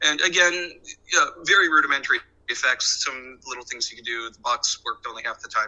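Speaking at a very fast pace, a man shows big swings in loudness. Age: 40s. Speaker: reality TV editor. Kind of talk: interview. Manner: halting.

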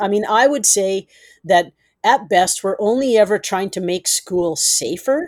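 In a very clean recording with a silent background and a dry, close sound with no echo, a woman with a Canadian accent speaks at medium pitch and a moderate pace, with ordinary pitch variation. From Yukon, Canada. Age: 50s. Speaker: writer and storyteller. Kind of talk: interview conversation. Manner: halting.

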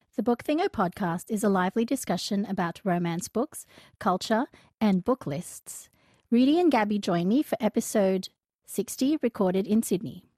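A woman speaks at medium pitch and a moderate pace, her tone dark and mellow and somewhat breathy. Her intonation is lively, and the sound is dry and close with no echo. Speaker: podcast host. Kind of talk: casual chat.

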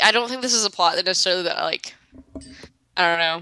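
Speaking in a Southern US accent, a woman has a bright, sharp tone and lively intonation. The sound is dry and close with no echo. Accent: Southern US, pin-pen merger. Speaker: co-host podcaster. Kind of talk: casual podcast chat about a show.

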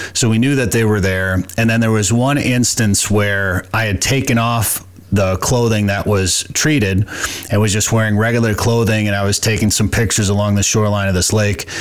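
A man with an American accent has an ordinary speaking voice at a fairly low pitch. He talks at a fairly quick pace, with fairly even intonation and very even loudness. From Minnesota. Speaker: podcast host. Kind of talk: casual interview chat with ad reads.

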